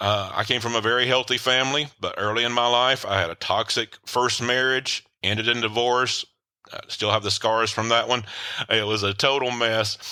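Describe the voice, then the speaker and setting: This man speaks with a Tennessee accent. His intonation is monotone and flat. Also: medium pitch for a man, moderate pace. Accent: Southern US (Tennessee). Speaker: author and relationship coach. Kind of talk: podcast interview. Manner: hesitant, frequent filler words.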